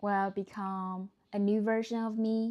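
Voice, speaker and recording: A woman speaks at medium pitch with a dark, mellow tone and monotone, flat intonation. Her very slow delivery is on a very clean recording with a silent background. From China. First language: Chinese. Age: 30s. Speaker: vlogger and entrepreneur. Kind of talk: personal reflection to camera. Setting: recorded to camera. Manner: slightly hesitant, uncomfortable on camera.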